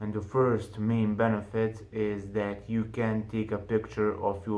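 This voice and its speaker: A man with a non-native accent speaks very slowly in a fairly low, flat monotone, with audible room echo. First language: not English. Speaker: online business youtuber. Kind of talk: casual tutorial to camera. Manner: halting, with fillers.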